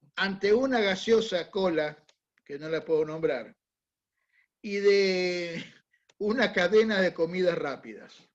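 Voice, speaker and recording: A man's voice, high in pitch, at a fairly slow pace. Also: long, frequent pauses. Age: 60s. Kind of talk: talk to a church group.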